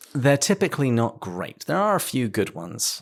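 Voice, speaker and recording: The speaker is a man with a British accent. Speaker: podcast host. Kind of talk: podcast interview.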